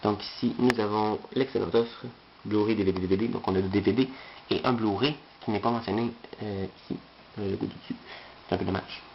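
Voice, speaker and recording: A man with a fairly low pitch and ordinary pitch variation is heard against noticeable background noise. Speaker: unboxing video creator. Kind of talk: product unboxing video. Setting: bedroom. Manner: fast; hesitant, many filler sounds.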